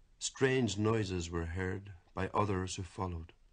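Somewhat breathy and very deep, a man speaks fairly slowly in an Irish accent with ordinary pitch variation. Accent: Irish lilt. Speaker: poet. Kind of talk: poetry reading.

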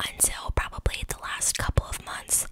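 Whispering at a fairly slow pace, a woman is heard over light background noise. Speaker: beauty product reviewer. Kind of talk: casual product review, ASMR-like. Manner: close-mic ASMR whisper. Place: home room. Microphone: studio mic.

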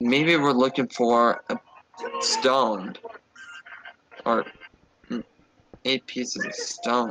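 Using a put-on character voice, a man with a medium pitch speaks at a very slow pace, with long, frequent pauses. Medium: machinima. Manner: rambling, anxious, bossy.

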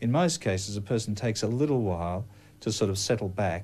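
A man with an Australian accent, fairly low in pitch, with a dark, mellow tone and a fairly quick pace. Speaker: clinical hypnotherapist. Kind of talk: news interview with hypnosis induction. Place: office.

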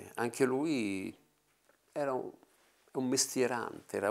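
This man speaks at a fairly slow pace. His pitch varies in an ordinary way. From Italy. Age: 60s. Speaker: film actor. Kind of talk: interview. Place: home room.

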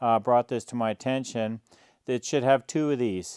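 Against a quiet background, a man speaks with fairly even intonation in a dry sound with no echo. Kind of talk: casual project update vlog. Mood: mildly amused, explaining. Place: garage. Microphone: lapel.

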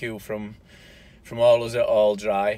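A man with a Yorkshire accent in dry sound with no echo. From South Yorkshire, England. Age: 40s. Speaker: YouTuber. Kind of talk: casual vlog monologue. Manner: halting. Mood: relaxed, somewhat somber. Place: car. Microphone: phone near.

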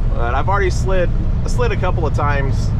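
At a moderate pace, the speech comes through loud background noise, with a dry sound and no echo. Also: man. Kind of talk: casual vlog chat. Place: car. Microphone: camera far.

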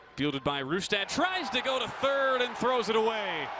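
This man's voice sits high in pitch. There is noticeable noise in the background. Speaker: baseball play-by-play commentator. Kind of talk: live sports commentary, highlight reel. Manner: clipped, punchy call-outs that swell on big hits and strikeouts.

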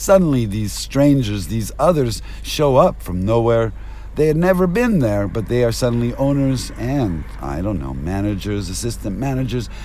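A man at medium pitch with an American accent, very wide pitch swings, a moderate pace and noticeable background noise. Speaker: vlogger and rideshare driver. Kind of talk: rambling stream-of-consciousness vlog monologue. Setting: in a car. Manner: rambling, erratic and jumpy.

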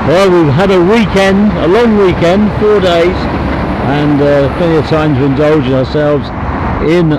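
The speaker talks at a fairly slow pace with ordinary pitch variation. Noticeable background noise runs under the voice. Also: man. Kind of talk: casual commentary. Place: street. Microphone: camera far.

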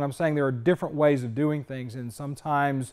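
In quiet surroundings, a man speaks very fast. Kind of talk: tutorial. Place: workshop. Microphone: lapel.

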